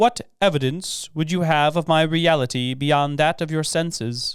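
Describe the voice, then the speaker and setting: Putting on a character voice, a man speaks at a fairly high pitch and a moderate pace in a very clean recording with a silent background. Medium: read story. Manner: solemn, terse.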